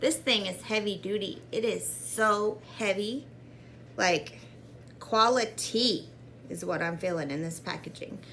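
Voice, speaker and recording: A woman talks at a fairly slow pace with an animated tone and lively intonation at medium pitch. Audible room echo surrounds her voice. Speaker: beauty vlogger. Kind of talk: makeup tutorial.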